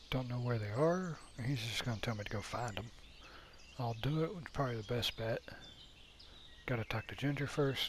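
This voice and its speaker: Speaking at a fairly quick pace, a man with a medium pitch and a somewhat breathy voice talks quietly, using ordinary pitch variation and long, frequent pauses. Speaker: gaming let's player. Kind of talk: gameplay commentary. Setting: home at night. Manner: quiet, low volume.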